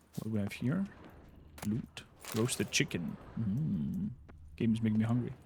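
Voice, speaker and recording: A man's somewhat breathy, medium-pitched voice at a moderate pace, with very wide pitch swings and long, frequent pauses. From Romania. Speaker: gaming streamer. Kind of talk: casual live-stream commentary.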